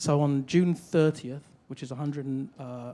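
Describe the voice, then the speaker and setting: A man speaks with a British accent. His tone is dark and mellow. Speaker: fintech executive on conference panel. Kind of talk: conference panel discussion.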